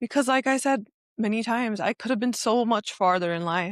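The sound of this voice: A woman speaks at a fairly high pitch and moderate pace with ordinary pitch variation, in a dry, close sound with no echo.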